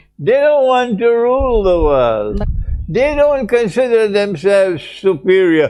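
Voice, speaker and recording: A man speaks with music in the background. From Trinidad and Tobago. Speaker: Islamic scholar. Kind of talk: religious lecture.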